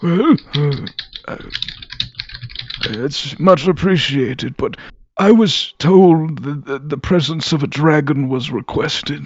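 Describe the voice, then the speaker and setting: Someone speaks in a put-on character voice at a fairly slow pace. Long, frequent pauses break up the delivery. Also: man, fairly high pitch for a man. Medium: actual play. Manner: polite, hesitant.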